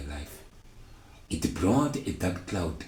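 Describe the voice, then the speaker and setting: A man's somewhat breathy voice has a dark, mellow tone and lively intonation, heard with audible room echo. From South Africa, Mpumalanga. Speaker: storyteller sharing personal testimony. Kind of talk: testimony. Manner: halting.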